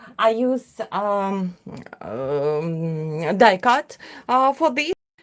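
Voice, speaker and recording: Speaking at a very slow pace, a woman with a Russian accent moves through very wide pitch swings. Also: medium pitch for a woman. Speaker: craft artist. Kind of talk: livestream tutorial. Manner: halting.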